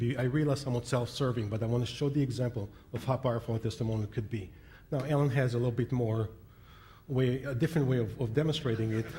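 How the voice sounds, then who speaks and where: Speaking at a very fast pace, a man with a medium pitch and a dark, mellow tone sounds somewhat breathy, with ordinary pitch variation. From Israel. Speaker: internet and business strategist, keynote speaker. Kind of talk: keynote speech. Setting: convention stage with audience.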